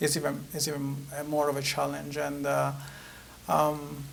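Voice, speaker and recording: Audible room echo surrounds a man's fairly high voice. He talks at a moderate pace. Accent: Italian. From Italy. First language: Italian. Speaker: author. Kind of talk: interview. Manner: halting, many fillers.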